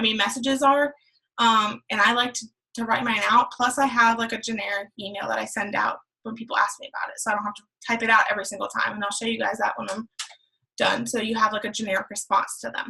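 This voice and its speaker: A fairly high-pitched woman at a very fast pace, in a monotone, flat intonation. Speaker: fitness coach and online business tutor. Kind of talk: tutorial.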